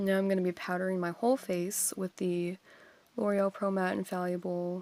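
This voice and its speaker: A woman with a medium-pitched voice talks at a moderate pace on a very clean recording with a silent background. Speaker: beauty vlogger. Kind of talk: makeup tutorial voiceover. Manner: monotone.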